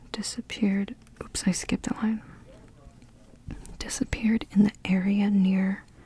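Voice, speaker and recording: The soft-spoken voice moves at a moderate pace, broken by long, frequent pauses. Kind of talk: ASMR soft-spoken puzzle solving.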